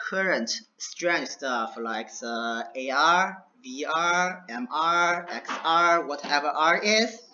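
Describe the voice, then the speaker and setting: A man with a strong non-native accent speaks at a high pitch with very wide pitch swings, with audible room echo. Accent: heavy non-native English. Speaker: lecturer, VR hardware developer. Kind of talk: lecture. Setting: classroom session, screen recording. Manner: slow.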